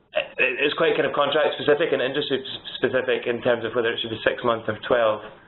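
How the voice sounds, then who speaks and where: A man speaks with a Scottish accent. His pace is fairly quick. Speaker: solicitor. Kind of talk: webinar Q&A. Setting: webinar.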